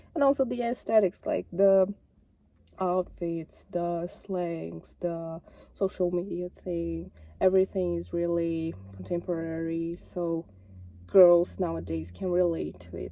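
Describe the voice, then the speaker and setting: Talking fairly slowly, a woman speaks with a non-native accent. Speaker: YouTuber. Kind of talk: casual vlog commentary. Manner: halting, self-correcting.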